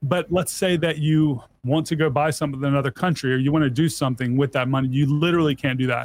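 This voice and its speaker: A man's fairly high voice in an American accent, fairly quick in pace and fairly even in intonation. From US South. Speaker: software engineer and entrepreneur. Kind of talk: casual interview.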